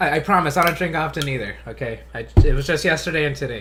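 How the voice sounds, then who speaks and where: A man's moderate-paced speech comes with audible room echo. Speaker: YouTuber, tokusatsu reviewer. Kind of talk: casual live stream chat. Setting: live stream. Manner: halting, many repetitions.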